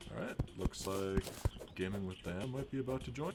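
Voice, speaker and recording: A man with an American accent, lively intonation, and a fairly quick pace. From Minnesota. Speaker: gaming streamer. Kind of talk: live gameplay commentary. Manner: casual, chatty. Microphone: new mic, audio issues.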